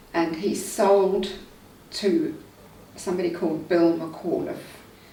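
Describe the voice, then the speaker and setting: Speaking at a very slow pace, a woman with a medium pitch is heard with audible room echo and noticeable background noise. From England, Surrey. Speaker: local resident sharing memories. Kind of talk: oral history interview. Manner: casual, with hesitations.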